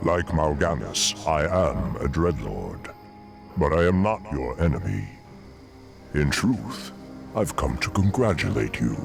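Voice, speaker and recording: Clear music plays in the background as a man uses a put-on character voice at a very deep, low pitch. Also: fairly slow pace. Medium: machinima. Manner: smooth, sinister.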